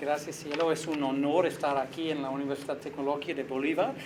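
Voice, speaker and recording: At a moderate pace, a man with a non-native accent speaks in a monotone, flat way at a fairly high pitch, with audible room echo and noticeable background noise. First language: not Spanish (speaking Spanish). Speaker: visiting researcher and lecturer. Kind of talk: academic interview. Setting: university. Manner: halting, with self-corrections.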